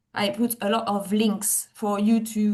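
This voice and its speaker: A woman's somewhat breathy, dark, mellow voice in a French accent, medium in pitch and monotone and flat, against a quiet background. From France. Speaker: tour manager and producer. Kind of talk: webinar presentation. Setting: video call webinar. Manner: hesitant, many fillers.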